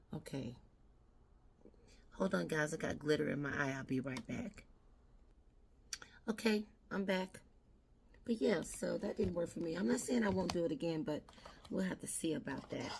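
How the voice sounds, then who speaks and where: With vocal fry and a fairly low pitch, a woman speaks at a moderate pace using lively intonation and long, frequent pauses. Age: 60s. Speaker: beauty vlogger. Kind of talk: casual makeup tutorial chat. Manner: conversational.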